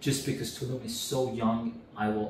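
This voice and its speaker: At a moderate pace, a man speaks with audible room echo and light background noise. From Canada. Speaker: real estate rental expert. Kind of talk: interview. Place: home room.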